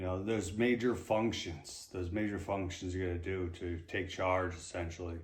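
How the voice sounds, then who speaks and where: A man's very deep, low, somewhat breathy voice at a moderate pace, with fairly even intonation. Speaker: retired marine sergeant, brain injury survivor. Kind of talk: interview. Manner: delayed, halting speech; repetitive.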